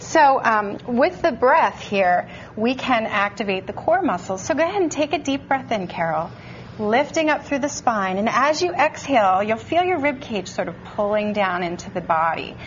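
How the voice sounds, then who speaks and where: Light background noise behind a woman, her pace moderate. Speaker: fitness instructor guest. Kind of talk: tutorial. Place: studio. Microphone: lapel.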